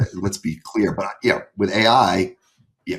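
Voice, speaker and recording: The voice has an American accent, a fairly quick pace, lively intonation and a somewhat breathy quality. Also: man. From US Northeast, Boston. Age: 60s. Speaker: private equity investor. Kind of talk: podcast interview. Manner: casual, many fillers; animated.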